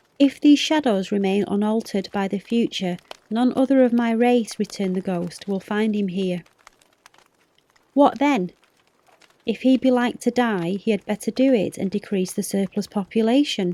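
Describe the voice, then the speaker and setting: Soft-spoken and fairly high in pitch, a woman talks at a moderate pace with ordinary pitch variation in a dry, close sound with no echo. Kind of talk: audiobook reading; bedtime story.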